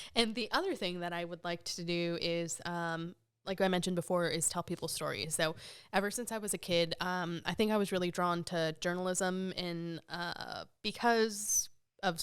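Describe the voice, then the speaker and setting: A woman talks at a moderate pace with fairly low pitch and fairly even intonation. The recording is very clean, with a silent background. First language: Spanish. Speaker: podcast co-host. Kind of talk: casual chat.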